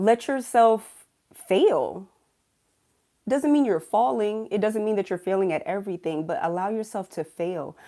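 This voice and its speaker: In an animated tone, a woman speaks at a moderate pace with a fairly high pitch and very wide pitch swings. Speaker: livestream host, spiritual speaker. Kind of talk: livestream motivational talk. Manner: animated, repetitive.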